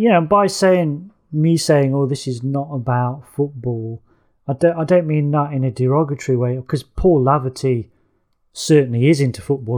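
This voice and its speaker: A man talks at a moderate pace with an East Midlands accent, a medium pitch and a dark, mellow tone. His pitch varies in an ordinary way, and the background is quiet. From England, Nottingham area working-class. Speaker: author and film critic. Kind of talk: casual chat. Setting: video call. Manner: halting, many fillers and repeats.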